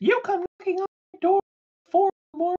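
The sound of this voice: The put-on character voice is squeaky and extremely high in pitch. It races along at a very fast pace.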